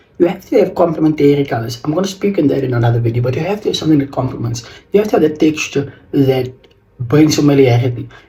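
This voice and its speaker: Over noticeable background noise, a man speaks at a very fast pace in a fairly high pitch with ordinary pitch variation. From South Africa, George in the Western Cape. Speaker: fashion vlogger. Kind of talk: casual fashion tutorial vlog. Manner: halting.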